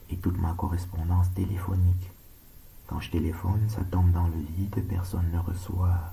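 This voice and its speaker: A soft-spoken man talks in a very deep, low voice with a calm tone and fairly even intonation. Audible room echo and noticeable background noise surround him. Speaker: surgeon making monologue videos. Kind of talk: monologue video rant. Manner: slow, calm.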